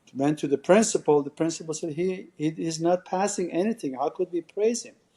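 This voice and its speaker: A man speaks with a Persian accent in a dark, mellow tone. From Iran. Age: 60s. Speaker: salon and med spa owner. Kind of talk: podcast interview. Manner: halting.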